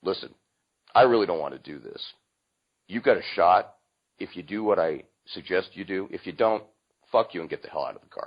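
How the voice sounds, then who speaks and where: Doing a gruff put-on character voice, a man talks at a fairly quick pace broken by long, frequent pauses. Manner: blunt, harsh.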